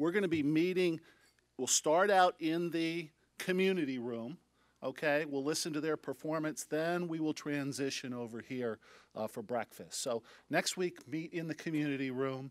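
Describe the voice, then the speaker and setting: This man's fairly high voice moves at a moderate pace with ordinary pitch variation, recorded dry with no echo against a quiet background. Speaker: club president. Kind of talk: meeting announcements. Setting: breakfast meeting hall. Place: hall. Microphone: podium.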